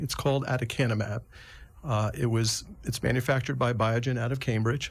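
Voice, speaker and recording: Somewhat breathy, a man speaks at a fairly quick pace and medium pitch with fairly even intonation. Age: 60s. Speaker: neurologist. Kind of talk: interview.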